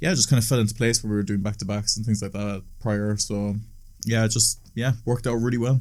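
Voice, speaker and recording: Speaking very fast, a man with a fairly low pitch keeps his intonation fairly even. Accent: Cork. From Ireland, Cork. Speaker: DJ and music producer. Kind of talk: casual chat.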